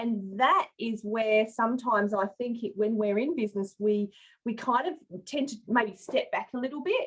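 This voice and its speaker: An unremarkable speaking voice from a woman, moderate in pace and fairly high in pitch. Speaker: business coach and livestream host. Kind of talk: casual livestream interview host. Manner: upbeat.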